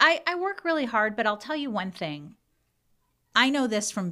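In an American accent, the voice swings very widely in pitch, has a bright, sharp tone, keeps a moderate pace, and sits in a very clean recording with a silent background. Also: woman. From Iran, then US. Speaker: city councilwoman and prosecutor. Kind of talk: interview.

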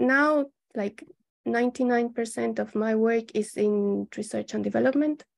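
At a very slow pace, a woman talks with a Spanish accent in a fairly high pitch. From Colombia. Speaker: civil engineer. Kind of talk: interview. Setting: video call.

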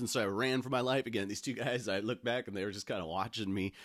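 An ordinary speaking voice from a man, fairly low in pitch, on a very clean recording with a silent background. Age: 40s. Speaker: podcast host. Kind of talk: casual solo monologue.

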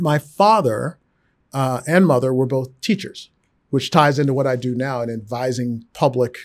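A man with an American accent talks at medium pitch with fairly even intonation in a plain, everyday voice. The recording is very clean, with a silent background. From Texas. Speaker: finance executive. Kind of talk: interview.

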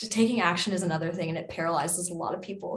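A somewhat breathy woman's voice with a fairly low pitch. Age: 20s. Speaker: Reiki practitioner and DJ. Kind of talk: casual chat.

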